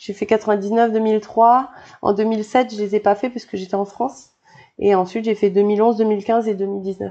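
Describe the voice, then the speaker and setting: In a dark, mellow tone, a woman with a fairly high pitch speaks at a fairly slow pace with flat, monotone intonation. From New Caledonia. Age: 30s. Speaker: PE teacher and triathlete. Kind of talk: casual interview.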